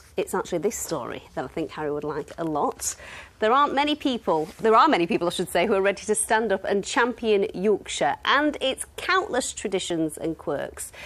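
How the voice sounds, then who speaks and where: Talking at a fairly quick pace with hardly any pauses, a woman with a fairly high pitch makes very wide pitch swings against noticeable background noise. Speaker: TV news presenter. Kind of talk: TV news link.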